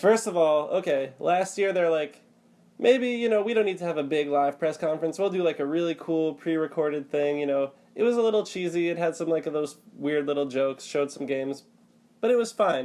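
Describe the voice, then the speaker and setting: With an American accent, a man speaks fast-ish with lively intonation, his high voice carrying a dark, mellow tone. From United States. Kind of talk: casual podcast chat about video games.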